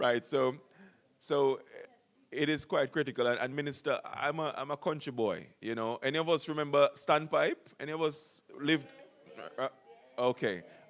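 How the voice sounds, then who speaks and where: Music plays behind a man with a fairly high pitch. His intonation is fairly even, his pace moderate, with long, frequent pauses. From rural Jamaica. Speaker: university official. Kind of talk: welcome speech. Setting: symposium stage with audience. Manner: hesitant, many fillers.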